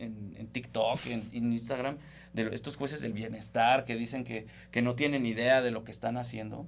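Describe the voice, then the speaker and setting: A man speaks with monotone, flat intonation, and audible room echo follows his voice. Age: 30s. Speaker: lawyer and political analyst. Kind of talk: political discussion on a podcast.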